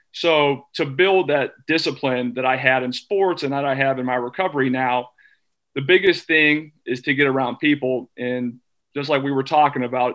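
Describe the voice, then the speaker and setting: A man with an American accent at a moderate pace, fairly even intonation, and a quiet background. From US Midwest. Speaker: former athlete and recovery advocate. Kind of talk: panel discussion. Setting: video call. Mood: earnest, encouraging. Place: home room. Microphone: video call.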